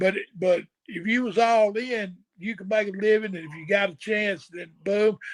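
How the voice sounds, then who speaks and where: With a Southern US accent and a high pitch, a man speaks with fairly even intonation and big swings in loudness. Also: moderate pace. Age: 60s. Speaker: retired pro wrestler. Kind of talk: casual chat.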